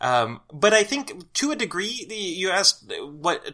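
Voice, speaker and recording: With an American accent, a man speaks in a raised, projected voice that is high-pitched for a man and swings very widely in pitch. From Southern Illinois, near St. Louis. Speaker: writer and journalist. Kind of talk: casual chat.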